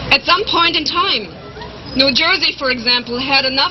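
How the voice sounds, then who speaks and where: A woman's high-pitched voice with a German accent and ordinary pitch variation, amid noticeable background noise. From Germany. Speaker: animal rights advocate. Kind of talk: rally speech.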